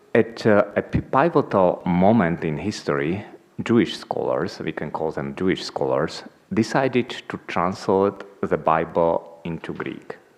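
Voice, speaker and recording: Speaking at a fairly slow pace with a non-native accent, the man has a very deep, low pitch. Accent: non-native English, noticeable. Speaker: institute president, conference chair. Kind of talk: conference welcome address. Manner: hesitant, many fillers.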